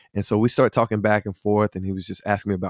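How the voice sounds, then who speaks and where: A man with a Southern US accent speaks in a fairly low pitch with monotone, flat intonation. The sound is dry and close, with no echo. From US South, Hickory, North Carolina. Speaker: singer-songwriter. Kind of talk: interview testimony.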